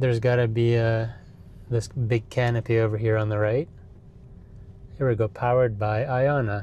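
At a moderate pace, a man speaks at a medium pitch with a slightly mellow tone.

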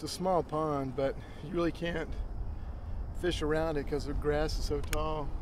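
Amid noticeable background noise, a man speaks with monotone, flat intonation, and the sound is dry with no echo. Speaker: hobby fishing vlogger. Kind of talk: casual vlog chat. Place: waterside. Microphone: camera far.

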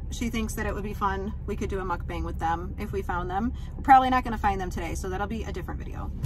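A woman speaks over noticeable background noise, in a dry sound with no echo. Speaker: mom vlogger. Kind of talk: casual vlog chat. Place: car. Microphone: phone near.

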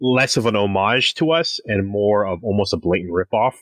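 A man with an ordinary speaking voice talks at a moderate pace in a fairly low pitch, the sound dry and close with no echo. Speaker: podcast host. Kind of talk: casual chat. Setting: remote recording at home. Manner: joking, playful.

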